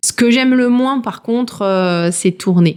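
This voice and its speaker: In a very clean recording with a silent background, a woman talks very slowly with ordinary pitch variation. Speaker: true crime YouTuber. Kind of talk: casual Q&A video. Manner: casual, with filler words.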